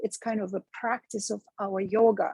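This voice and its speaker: A somewhat breathy, dark, mellow voice with a Russian accent, fairly slow and fairly even in intonation, dry and close with no echo. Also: woman. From Russia (Moscow). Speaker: meditation teacher and speaking coach. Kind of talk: podcast interview. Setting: live stream.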